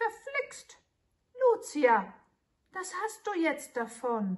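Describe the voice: Putting on a character voice, a woman speaks at a very slow pace in an extremely high pitch, with very wide pitch swings and a hissing sound.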